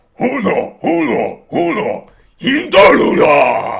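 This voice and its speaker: Growling in a put-on character voice, a man speaks at a high pitch and a very slow pace. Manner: shouting loudly.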